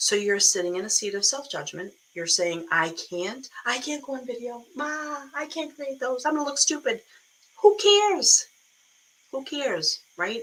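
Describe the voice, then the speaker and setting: A woman speaks in a strong Boston accent at a moderate pace. Her voice is high, with very wide pitch swings. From Boston area, US. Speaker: online business coach. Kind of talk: live stream talk. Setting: live video stream. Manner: animated, casual.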